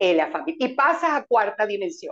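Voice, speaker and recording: This woman's voice sits high in pitch. It swings very widely from note to note. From Venezuela. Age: 70s. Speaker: numerologist and energy interior consultant. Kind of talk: interview explaining spiritual topics.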